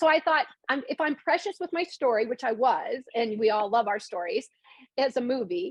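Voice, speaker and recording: A woman with a high pitch talks at a fairly quick pace in an animated tone, her voice making very wide pitch swings. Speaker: screenwriter and novelist. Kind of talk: casual chat. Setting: video call. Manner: fast.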